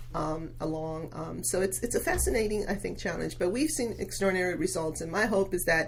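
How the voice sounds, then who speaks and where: A woman at a fairly quick pace with hardly any pauses, amid audible room echo and noticeable background noise. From Venezuela. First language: Spanish. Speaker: local politician. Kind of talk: podcast interview.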